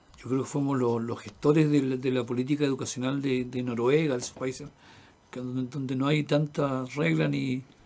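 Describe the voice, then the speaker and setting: A man speaks at a moderate pace in a dark, mellow tone. His intonation stays fairly even. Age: 70s. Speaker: interviewee, earthquake witness. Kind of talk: radio interview. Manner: halting.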